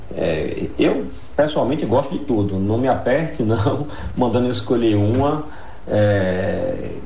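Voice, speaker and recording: Through noticeable background noise and audible room echo, a man speaks at medium pitch with ordinary pitch variation. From Bahia, northeastern Brazil (Jacobina). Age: 30s. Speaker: lawyer and law professor. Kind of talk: radio interview.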